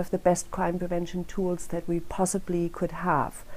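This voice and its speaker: A woman speaks in a German accent. Her tone is dark and mellow. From Germany. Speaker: crime prevention council director. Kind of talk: speech at a rally. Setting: rally.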